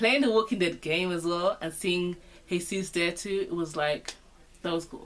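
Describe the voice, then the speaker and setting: In a London accent, a woman speaks with ordinary pitch variation. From Britain. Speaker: vlogger. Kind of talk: casual talk to camera.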